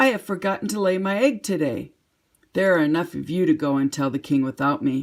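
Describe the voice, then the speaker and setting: A put-on character voice at a middle pitch, delivered at a fairly quick pace on a very clean recording with a silent background. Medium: read story. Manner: fussy, alarmed.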